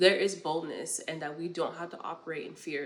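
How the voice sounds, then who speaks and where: In an American accent, a woman with a fairly low pitch speaks at a moderate pace with fairly even intonation and a normal speaking voice. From New York. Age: 20s. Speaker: podcast host. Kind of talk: casual monologue, faith-based talk.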